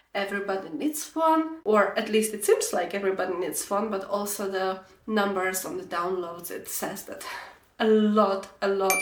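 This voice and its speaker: Medium-pitched female speech at a moderate pace, with noticeable background noise and audible room echo. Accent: Slovak. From Slovakia. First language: Slovak. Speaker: knitting podcaster. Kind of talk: casual vlog chat. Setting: bedroom.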